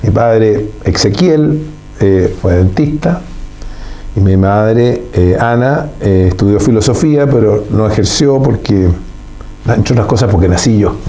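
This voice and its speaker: Lively intonation from a man at a fairly low pitch, very even in loudness, with audible room echo and noticeable background noise. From Chile. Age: 70s. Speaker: engineer and businessman. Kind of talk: interview conversation. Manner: formal.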